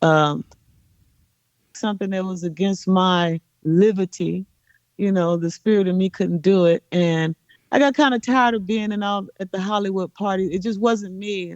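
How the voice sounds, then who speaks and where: With an American accent, a woman with an ordinary speaking voice talks at a moderate pace and medium pitch, ordinary pitch variation, in a dry, close sound with no echo. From Los Angeles, Watts/Compton. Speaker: reggae singer. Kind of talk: interview.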